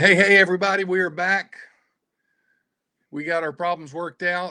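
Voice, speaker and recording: Spoken at a moderate pace with a Southern US accent, this voice has a bright, sharp tone and a monotone, flat intonation. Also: man, high pitch for a man. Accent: Southern US twang. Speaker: adventure travel company owner. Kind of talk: livestream presentation. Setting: video livestream. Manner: halting, many fillers.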